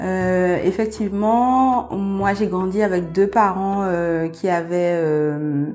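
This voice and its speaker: A woman talks at a very slow pace with hardly any pauses, her pitch medium with ordinary variation. Room echo is audible. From Guadeloupe. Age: 30s. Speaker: midwife. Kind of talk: podcast interview. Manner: hesitant, many fillers.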